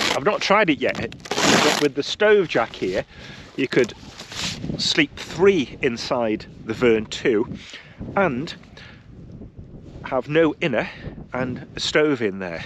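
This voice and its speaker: Amid noticeable background noise, a man with a fairly high pitch talks at a very slow pace, with long, frequent pauses and very wide swings in pitch. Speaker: outdoor gear reviewer. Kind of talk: casual vlog review. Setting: outdoors, wild camp on hill.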